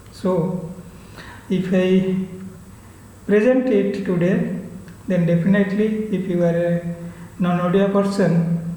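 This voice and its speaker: A man's high, flat, monotone voice in an Odisha accent, fairly slow with long, frequent pauses, plus audible room echo and noticeable background noise. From Odisha, India. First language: Odia. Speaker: book reviewer. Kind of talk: book review talk. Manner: halting, with frequent fillers.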